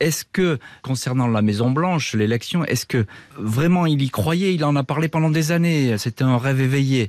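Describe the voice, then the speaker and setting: Against a quiet background, a man with a fairly high pitch speaks at a moderate pace with ordinary pitch variation and very even loudness, in a dry, close sound with no echo. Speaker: radio host. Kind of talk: scripted narration; true-crime documentary narration. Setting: studio. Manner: grave, dramatic, measured storytelling tone; suspenseful, crisp narration.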